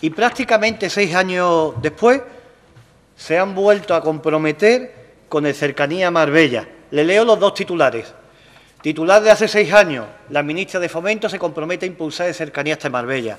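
Lively intonation marks a man's high-pitched voice at a moderate pace. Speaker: local politician. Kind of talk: political speech. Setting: council plenary session. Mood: critical, argumentative. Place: hall. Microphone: podium.

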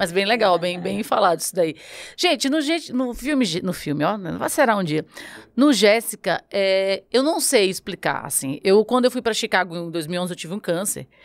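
Speaking with a northeastern Brazilian accent, a woman keeps a moderate pace and lively intonation. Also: medium pitch for a woman. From Brazilian Northeast. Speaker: podcast host. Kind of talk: casual chat. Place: studio. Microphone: studio mic.

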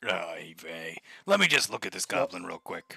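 A man does a raspy, put-on character voice. His pace is moderate. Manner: casual, exasperated.

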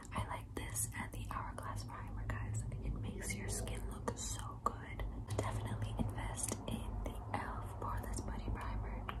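Amid noticeable background noise, a woman speaks at a moderate pace in a flat monotone with a very deep, low pitch. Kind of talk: ASMR makeup bag show-and-tell to camera. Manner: whispered, soft, close to the microphone.

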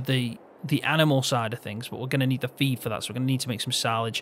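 Over noticeable background noise, a man with a Midlands accent speaks very fast at a medium pitch with fairly even intonation. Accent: Midlands, often taken for northern English. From English Midlands, Peak District. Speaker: gaming video creator. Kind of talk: casual chat while playing and teaching a game.

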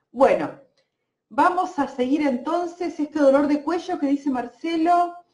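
A woman speaks at a high pitch with fairly even intonation. Her pace is fairly slow. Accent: Argentine. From Argentina, Santa Fe province. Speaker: energy healer and therapist. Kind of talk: live-stream energy healing session. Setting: Facebook live stream. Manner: hesitant, many fillers.

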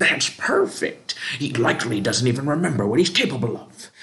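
Someone is shouting in a put-on character voice. The pace is fairly quick. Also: man, medium pitch for a man. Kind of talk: comic overacting. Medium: actual play. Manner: yelling, gloating.

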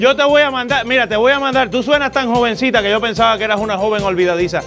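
A man at a very fast pace, clear music in the background. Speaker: radio show host. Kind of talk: call-in game show hosting. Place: studio. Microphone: lapel.

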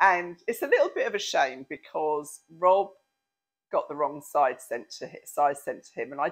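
A woman with a British accent at a moderate pace, against a quiet background. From England. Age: 60s. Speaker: lifestyle vlogger. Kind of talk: product review. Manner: chatty, frequent ums and hesitations. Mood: playful, amused. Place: home room. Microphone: lapel.

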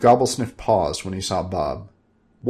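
A natural reading voice is what comes through.

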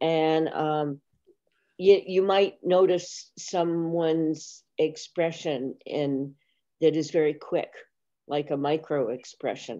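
Against a quiet background, a woman speaks very slowly in a very deep, low voice with fairly even intonation. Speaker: class teacher. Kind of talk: class discussion. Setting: video call. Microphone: webcam.

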